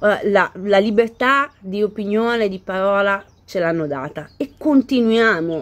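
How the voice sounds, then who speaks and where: The pace here is fairly slow. This woman's intonation sounds lively. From Italy. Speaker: vlogger. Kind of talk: casual reaction video chat. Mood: indignant, argumentative. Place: garden. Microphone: phone near.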